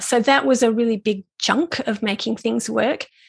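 A woman speaks in an ordinary speaking voice, fairly high in pitch. Her pace is fairly quick, with a quiet background. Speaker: business coach for artists. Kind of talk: interview.

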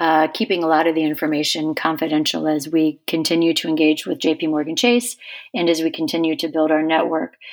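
There is an ordinary speaking voice with an American accent here, at a moderate pace, in a very clean recording with a silent background. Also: woman. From West Virginia. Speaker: foundation chair and climate advocate. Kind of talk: interview.

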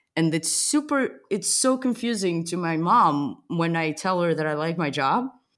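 At a moderate pace, a woman with a Portuguese accent and a fairly low pitch makes very wide pitch swings. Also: hardly any pauses. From Portugal. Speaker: podcast host. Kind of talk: casual interview chat. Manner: playful, joking.

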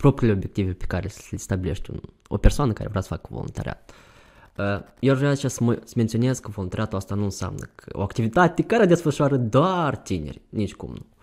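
Vocal fry marks this man's medium-pitched voice, which moves at a fairly quick pace. His pitch swings very widely, with big swings in loudness. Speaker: youth volunteer. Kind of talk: interview. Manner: halting.

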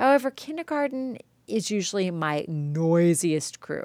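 Loud and animated, the voice swings very widely in pitch on a very clean recording with a silent background. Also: woman. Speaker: art teacher podcaster. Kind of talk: solo podcast monologue.

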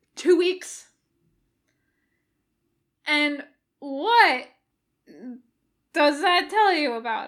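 A woman's put-on character voice, high-pitched with a fairly bright tone and lively intonation, at a very slow pace with long, frequent pauses, in a very clean recording with a silent background.

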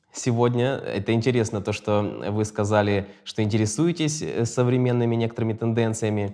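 A man has a normal speaking voice with very even loudness. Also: medium pitch for a man, fairly even intonation, moderate pace. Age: 30s. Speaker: podcast host. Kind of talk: interview.

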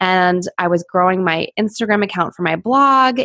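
In an American accent, a woman with a plain, everyday voice talks at a moderate pace and medium pitch with ordinary pitch variation. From Pittsburgh, US. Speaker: social media consultant. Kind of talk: interview.

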